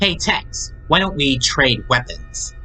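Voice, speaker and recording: Over clear music in the background, a man in a put-on character voice speaks in a sing-song way at a fairly slow pace. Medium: read story. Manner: sing-song, gleeful; gleeful, evil.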